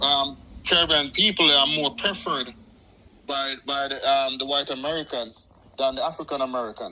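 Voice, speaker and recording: A man speaks with a Jamaican accent. His pitch is fairly high, with ordinary variation. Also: moderate pace. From Jamaica, Kingston. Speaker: correctional officer. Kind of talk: interview. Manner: halting.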